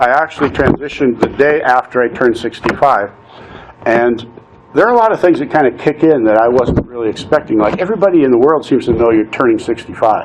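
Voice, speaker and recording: A man speaks very fast at a very even loudness, with ordinary pitch variation and noticeable background noise. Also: medium pitch for a man. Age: 60s. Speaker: nonprofit consultant and coach. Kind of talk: personal testimony talk. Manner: conversational, some hesitations.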